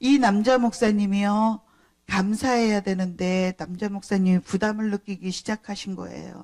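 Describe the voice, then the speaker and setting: A woman talks at a moderate pace in an ordinary speaking voice. The sound is dry and close, with no echo. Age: 60s. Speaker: pastor. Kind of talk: sermon. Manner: conversational.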